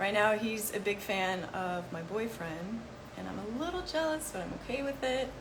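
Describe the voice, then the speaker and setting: Noticeable background noise and audible room echo surround a woman's voice. She speaks in a fairly high pitch with very wide pitch swings. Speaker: health educator. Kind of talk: live Q&A session. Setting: livestream. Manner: fast.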